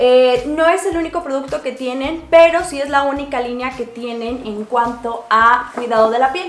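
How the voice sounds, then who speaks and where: With hardly any pauses, a woman speaks at a moderate pace in a high pitch with ordinary pitch variation. There is audible room echo. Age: 20s. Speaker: beauty vlogger. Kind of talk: product review. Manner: casual.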